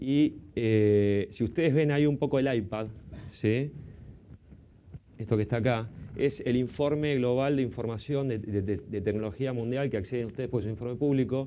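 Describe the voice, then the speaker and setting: A man with an Argentine accent speaks at a moderate pace and medium pitch, with long, frequent pauses and ordinary pitch variation. His tone is dark and mellow, and the room echo is audible. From Argentina. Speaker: panel moderator, consultant. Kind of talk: conference panel introduction. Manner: hesitant, many fillers.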